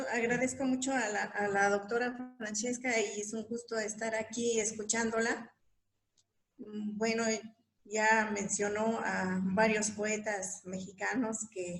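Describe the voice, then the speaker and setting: Somewhat breathy and fairly high-pitched, a woman talks at a very slow pace in a monotone, flat intonation. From Mixe highlands, Oaxaca, Mexico. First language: Mixe (Ayuk) (speaking Spanish). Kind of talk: panel discussion. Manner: halting.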